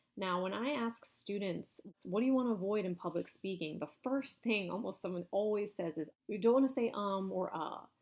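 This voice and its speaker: A woman's plain, everyday voice at medium pitch, moderate pace, ordinary pitch variation and hardly any pauses. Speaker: university lecturer. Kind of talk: lecture. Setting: recorded video lecture.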